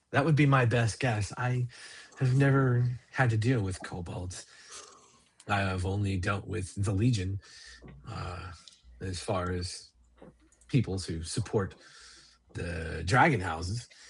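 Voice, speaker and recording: Putting on a raspy character voice, a man speaks fairly low and fairly slowly, with long, frequent pauses. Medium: actual play.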